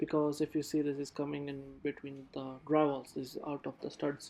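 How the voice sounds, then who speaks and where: A man talks at a moderate pace in a fairly high pitch, his dark, mellow tone held in a monotone, flat intonation. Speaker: HVAC technician. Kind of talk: casual on-the-job explanation. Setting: construction site.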